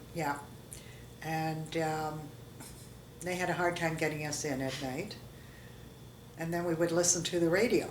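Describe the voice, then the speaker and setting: A woman with a Canadian accent and very deep, low pitch speaks at a moderate pace with fairly even intonation and long, frequent pauses, in a room with audible echo. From Canada, Toronto. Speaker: interviewee sharing life history. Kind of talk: oral history interview. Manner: halting.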